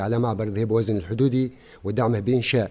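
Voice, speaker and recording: Speaking at a fairly quick pace, a man uses a dark, mellow tone. His pitch is medium, with fairly even intonation. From southern Tunisia, Remada-Dhehiba area; Tunisia. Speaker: parliamentary candidate; candidate. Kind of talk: campaign speech. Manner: formal. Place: studio. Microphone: podium.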